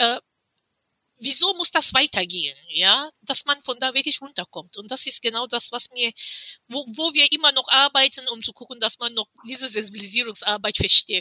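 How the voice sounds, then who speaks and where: Projecting her raised voice at a high pitch, a woman speaks at a moderate pace with lively intonation and a bright, sharp tone in a dry, close sound with no echo. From Cameroon. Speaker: activist and publisher. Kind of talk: interview.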